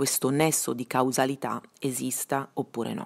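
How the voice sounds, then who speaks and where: A very clean, silent-background recording of a woman speaking at a very deep, low pitch. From Bergamo, northern Italy. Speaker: investigative journalist. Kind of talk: interview. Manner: hesitant, many fillers.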